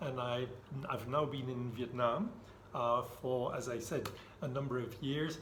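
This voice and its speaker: A man at a fairly slow pace amid noticeable background noise and audible room echo. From Belgium. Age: 60s. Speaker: retired IT director. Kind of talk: casual interview.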